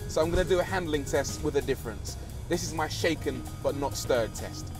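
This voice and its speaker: Over clear music in the background, a man talks at a fairly quick pace, and the sound is dry with no echo. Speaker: TV presenter. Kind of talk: TV car presenter showreel. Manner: playful, sarcastic, comedic. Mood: playful, joking. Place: car.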